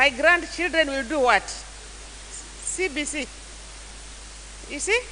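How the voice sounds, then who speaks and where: A woman speaks over noticeable background noise. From Kenya, Taita. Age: 60s. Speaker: church elder and youth mentor. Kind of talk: mentorship talk to church youth. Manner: halting.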